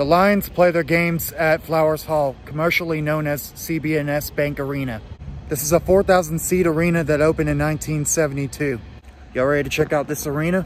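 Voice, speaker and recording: Fairly even in intonation and moderate in pace, a man speaks over light background noise with a dry sound and no echo. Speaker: sports vlogger. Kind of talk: casual vlog chat. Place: street. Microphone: phone near.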